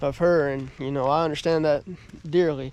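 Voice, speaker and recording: With a Southern US accent, a man talks in fairly even intonation. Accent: Southern US (Georgia). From US South, southern Georgia. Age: 20s. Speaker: motivational vlogger. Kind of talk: casual vlog, house tour. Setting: at home. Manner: halting, many fillers.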